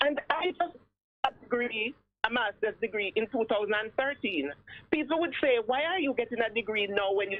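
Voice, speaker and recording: A plain, everyday voice from a woman, fairly high and fairly quick, with lively intonation and big swings in loudness. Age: 60s. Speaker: retired police officer and security consultant. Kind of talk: radio interview.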